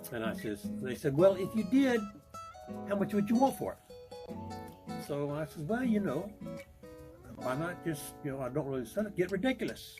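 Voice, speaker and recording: Over background music, a man with a high voice speaks at a moderate pace with very wide pitch swings and long, frequent pauses. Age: 80s+. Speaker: retired business owner. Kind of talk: interview answer. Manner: hesitant, conversational.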